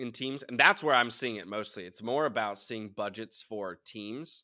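A man's bright, sharp voice moves at a moderate pace. The recording is very clean with a silent background. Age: 30s. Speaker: esports host and caster. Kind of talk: interview.

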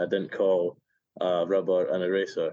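A man's voice, dry and close with no echo. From Scotland. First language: Spanish. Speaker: baseball player. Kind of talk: casual interview chat. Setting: remote call.

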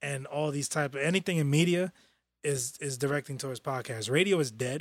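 A man with a New York accent speaks at a fairly high pitch and a moderate pace. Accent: New York City. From New York, Brooklyn. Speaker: podcast co-host. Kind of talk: casual chat. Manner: animated.

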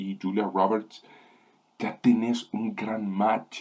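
This is a man speaking. His pitch is fairly low. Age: 20s. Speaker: film review podcast host. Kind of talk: solo film review monologue. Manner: halting.

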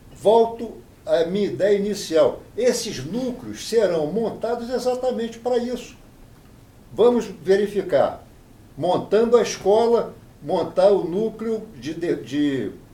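A man with a high voice speaks very slowly, his dark, mellow tone rising and falling in an ordinary way amid audible room echo. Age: 70s. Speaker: appellate judge. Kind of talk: interview.

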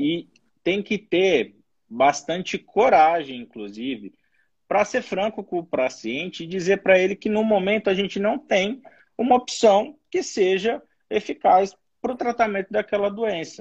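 A high-voiced man speaks at a fairly slow pace with lively intonation. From São Paulo, Brazil. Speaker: infectious disease doctor. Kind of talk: expert interview.

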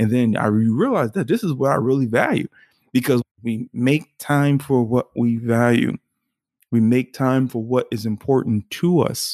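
Speaking at a moderate pace, a man uses a plain, everyday voice at a medium pitch. His pitch varies in an ordinary way, and the recording is very clean with a silent background. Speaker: podcast host. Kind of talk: solo podcast monologue. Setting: kitchen table at home.

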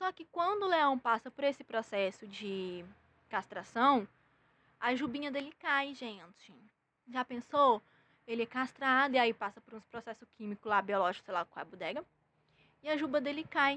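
A woman's high, bright, sharp voice with lively intonation, big swings in loudness, a moderate pace and long, frequent pauses, in a dry, close sound with no echo. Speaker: comedy news podcast host. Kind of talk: casual comedic news monologue. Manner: animated.

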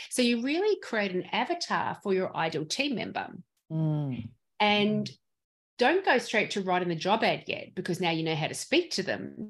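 A woman with an Australian accent speaks at a moderate pace over a quiet background. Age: 50s. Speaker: dental practice consultant. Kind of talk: interview.

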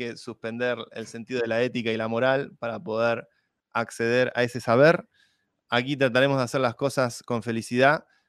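A man with an unremarkable speaking voice talks at a moderate pace, his intonation fairly even. Behind him the background is quiet. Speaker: tech podcast host. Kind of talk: casual chat. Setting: video call.

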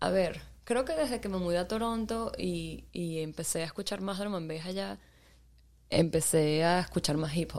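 A woman talks at a moderate pace in a normal speaking voice, fairly low in pitch, with ordinary pitch variation. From Venezuela, Maracaibo and Caracas. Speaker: DJ and photographer. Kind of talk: casual interview.

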